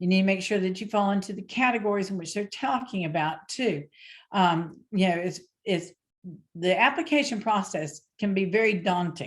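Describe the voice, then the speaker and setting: Against a quiet background, a woman speaks in a somewhat breathy voice at a medium pitch. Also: ordinary pitch variation. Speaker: small business coach. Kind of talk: lecture. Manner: fast.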